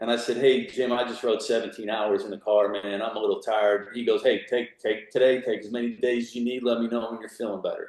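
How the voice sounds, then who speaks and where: A man with an American accent speaks at a very fast pace with hardly any pauses. His voice is medium in pitch, with fairly even intonation. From Pennsylvania, Pittsburgh. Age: 60s. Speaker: senior cyclist, former Marine. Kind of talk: interview.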